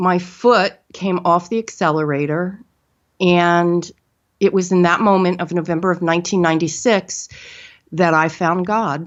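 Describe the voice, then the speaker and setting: Her voice is an ordinary speaking voice, fairly low for a woman, with fairly even intonation at a fairly slow pace. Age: 50s. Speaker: spiritual teacher, guest on a health podcast. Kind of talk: personal testimony in an interview.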